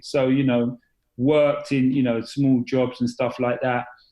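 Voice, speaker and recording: In an English accent, a man speaks at a moderate pace and medium pitch with a dark, mellow tone. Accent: British (English). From East London, England. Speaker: confidence and accountability coach. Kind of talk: podcast interview. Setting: podcast. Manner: hesitant, many fillers.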